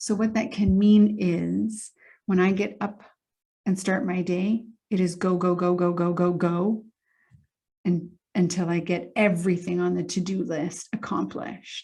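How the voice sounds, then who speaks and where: A woman speaks at a medium pitch and a fairly slow pace, her tone dark and mellow and somewhat breathy. Her intonation stays fairly even against a quiet background. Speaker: emotional intelligence coach. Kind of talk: motivational talk to camera.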